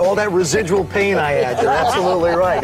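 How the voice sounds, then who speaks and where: Crowd noise fills the background as a man speaks. He has a high pitch and a very fast pace. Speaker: former pro football quarterback and broadcaster. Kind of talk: infomercial presentation.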